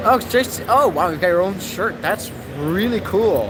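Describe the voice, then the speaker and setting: Over noticeable background noise and audible room echo, a man speaks at a moderate pace with lively intonation. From Germany. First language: German. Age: 19. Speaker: aviation YouTuber. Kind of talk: casual chat. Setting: crowded expo hall.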